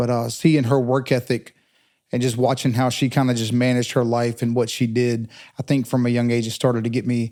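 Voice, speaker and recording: Recorded very cleanly against a silent background, a man with an Eastern North Carolina accent talks fairly quickly in a dark, mellow tone at medium pitch, his intonation monotone and flat. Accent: Eastern North Carolina Southern US. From Eastern North Carolina, Pitt County. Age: 40s. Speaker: telecom professional. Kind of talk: interview conversation.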